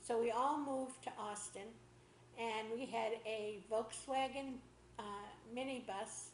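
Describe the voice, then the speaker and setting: A woman's fairly high voice in a Boston accent, at a fairly slow pace with fairly even intonation, amid audible room echo and noticeable background noise. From Boston area, Massachusetts. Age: 80s+. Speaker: interviewee telling life story. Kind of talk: oral history interview.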